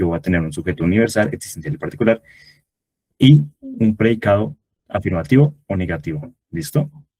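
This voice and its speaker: In a dry, close recording with no echo, a man speaks with a fairly low pitch, a dark, mellow tone, some breathiness and lively intonation. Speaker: tutor. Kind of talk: online review class. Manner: fast.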